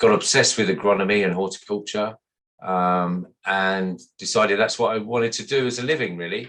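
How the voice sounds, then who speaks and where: Ordinary pitch variation, a West Midlands accent, and a quiet background. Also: man, fairly low pitch for a man. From West Midlands, England (Sutton Coldfield). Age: 50s. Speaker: landscaper, business owner. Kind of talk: podcast interview.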